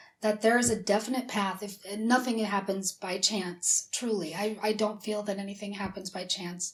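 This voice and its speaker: A woman speaks with an American accent and a somewhat breathy voice. Her intonation is monotone and flat. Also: medium pitch for a woman, moderate pace. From US Midwest, South Dakota. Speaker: whistleblower, former university dean. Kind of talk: interview. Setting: studio.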